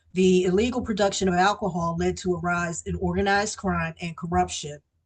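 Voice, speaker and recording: Fairly low in pitch and somewhat breathy, a woman speaks with fairly even intonation. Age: 60s. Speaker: recovering alcoholic sharing her story. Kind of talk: recovery meeting testimony. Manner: hesitant, with frequent fillers.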